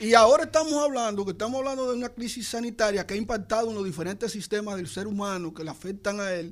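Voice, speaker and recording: A man with a high pitch races along at a very fast pace with hardly any pauses and big swings in loudness, on a very clean recording with a silent background. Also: ordinary pitch variation. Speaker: psychologist. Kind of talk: radio health talk.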